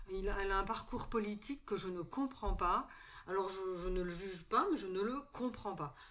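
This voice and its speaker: A woman is speaking. She talks at a fairly slow pace. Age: 60s. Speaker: retired social worker and former activist. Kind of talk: casual panel discussion. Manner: hesitant.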